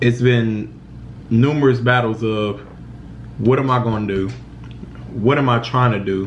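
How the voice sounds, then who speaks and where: A man talks at a moderate pace with ordinary pitch variation. He leaves long, frequent pauses over light background noise. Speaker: vlogger. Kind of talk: personal storytelling vlog. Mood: serious, reflective about depression. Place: kitchen. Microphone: phone near.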